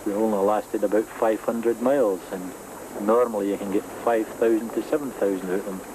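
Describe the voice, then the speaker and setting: A man with a fairly low pitch talks at a moderate pace over noticeable background noise. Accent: Scottish. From Scotland. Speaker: cycle tourist; former soldier. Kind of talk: interview answer.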